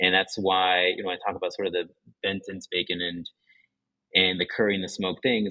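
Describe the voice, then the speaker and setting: Speaking with an American accent, a man has a very deep, low voice. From Japan and New Mexico, US (half Japanese). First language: Japanese. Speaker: restaurant owner. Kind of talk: interview. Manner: halting, many fillers.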